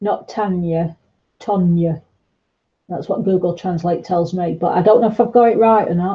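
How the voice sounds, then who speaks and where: Somewhat breathy, a woman speaks with a medium pitch. Her pace is moderate and her intonation fairly even. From northern England, South Yorkshire / North Derbyshire. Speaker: art tutor live-streaming. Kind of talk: casual live-stream chat while painting.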